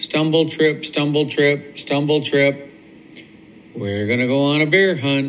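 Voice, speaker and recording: Noticeable background noise sits behind a man's voice. He has a warm, gentle tone and a fairly high pitch. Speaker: grandfather. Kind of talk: bedtime story read aloud to a child, recorded as a video message. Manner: animated, playful, with sound-effect noises and dramatic pauses; warm, sing-song repetition with a gentle, coaxing tone.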